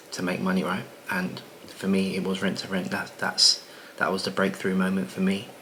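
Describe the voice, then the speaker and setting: Quiet and at a moderate pace, a man talks with audible room echo and noticeable background noise. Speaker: property business coach and content creator. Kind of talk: casual vlog monologue. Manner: talking quietly; relaxed, many filler words.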